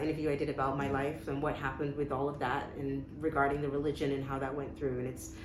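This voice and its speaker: The speech moves at a fairly quick pace in a monotone, flat intonation. Noticeable background noise and audible room echo fill the recording. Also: woman. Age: 40s. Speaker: interview guest sharing her life story. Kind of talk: personal testimony in a casual interview. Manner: frequent hesitations and repeated words.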